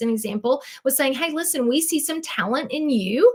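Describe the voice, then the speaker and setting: Over noticeable background noise, a woman with a Southern US accent speaks with ordinary pitch variation. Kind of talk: sales presentation. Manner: chatty, animated.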